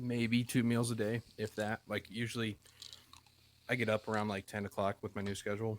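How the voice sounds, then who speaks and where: Fairly low male voice at a moderate pace, with fairly even intonation and long, frequent pauses, in a dry, close sound with no echo. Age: 20s. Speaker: podcast guest. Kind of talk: casual chat.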